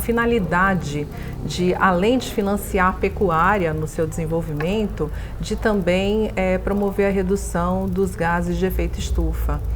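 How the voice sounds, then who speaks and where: A woman at a fairly slow pace, with noticeable background noise and audible room echo. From São Paulo coast, Brazil (Santos). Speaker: bank executive. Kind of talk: interview.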